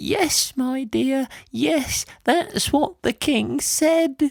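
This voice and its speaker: A woman speaks very slowly in a put-on character voice, pitched high with ordinary pitch variation. The sound is dry and close, with no echo. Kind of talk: bedtime story. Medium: read story. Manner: gentle, warm, calls others "my dear".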